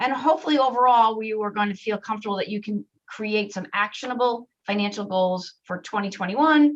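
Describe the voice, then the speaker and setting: A woman speaks at a fairly quick pace with lively intonation. Her pitch is medium. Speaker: financial literacy workshop presenter. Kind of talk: online workshop presentation. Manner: fast.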